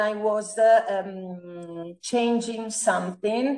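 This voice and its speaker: A woman with an Italian accent speaks at a very slow pace, her pitch varying in an ordinary way. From Italy. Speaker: feng shui architect. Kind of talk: interview. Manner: halting, many fillers.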